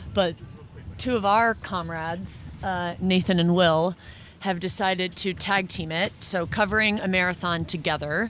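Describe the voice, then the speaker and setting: A woman speaks in an ordinary speaking voice at a medium pitch, her intonation fairly even and her pace moderate. The recording is very clean, with a silent background. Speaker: podcast host on a running team. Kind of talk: on-location field recording. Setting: outdoors in the desert.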